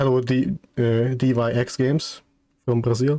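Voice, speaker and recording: A man speaks with a non-native accent. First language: not English. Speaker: vtuber streamer. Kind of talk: live stream chat. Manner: halting.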